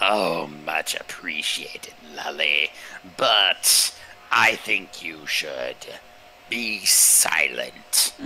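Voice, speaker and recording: A man's whispered, put-on character voice at a very slow pace. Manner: giggling.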